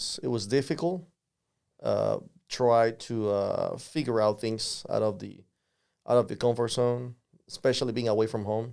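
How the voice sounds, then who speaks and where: A man with a Spanish accent at medium pitch, moderate pace, ordinary pitch variation, and long, frequent pauses. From Panama. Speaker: lawyer, immigrant podcast guest. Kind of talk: interview. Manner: halting, many fillers and repetitions.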